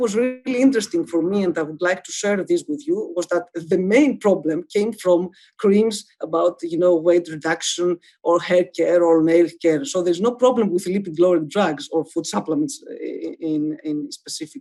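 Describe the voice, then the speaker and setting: A woman's dark, mellow voice with a Greek accent, medium in pitch, at a moderate pace with hardly any pauses and lively intonation. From Greece. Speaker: medical professor. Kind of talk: webinar lecture. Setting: online webinar. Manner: halting, many filler sounds.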